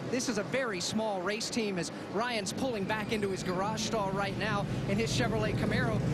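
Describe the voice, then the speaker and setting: Noticeable background noise sits under this man's voice. His pace is moderate and his pitch varies in an ordinary way. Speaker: pit reporter. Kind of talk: live broadcast garage reporting.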